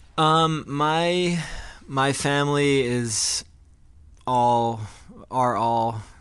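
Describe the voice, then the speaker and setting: With audible room echo around him, a man talks with ordinary pitch variation. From New Jersey (Glen Ridge). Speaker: rock band frontman. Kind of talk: interview.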